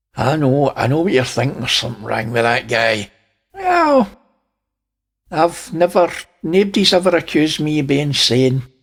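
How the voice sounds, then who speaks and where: Speaking at a moderate pace with long, frequent pauses, a man uses lively intonation and a fairly high pitch. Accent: Scottish. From Scotland. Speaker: space video commentator. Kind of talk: casual video commentary.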